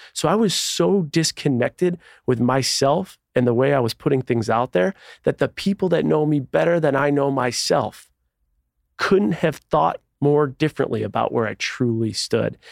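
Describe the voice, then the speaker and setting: In a normal speaking voice, a man talks at a moderate pace with an American accent, his pitch fairly high and his intonation lively. His loudness stays very even, and the sound is dry and close with no echo. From Buffalo, New York. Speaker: author. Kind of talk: interview.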